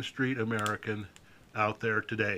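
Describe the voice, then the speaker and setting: A man talks in a bright, sharp tone. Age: 60s. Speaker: political commentator. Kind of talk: political monologue video. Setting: outdoors by a fire. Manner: folksy.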